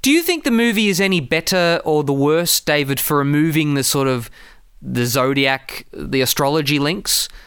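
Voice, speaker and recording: On a very clean recording with a silent background, a man with a fairly high pitch and an ordinary speaking voice talks at a moderate pace with lively intonation. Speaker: podcast host. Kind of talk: casual chat, film review.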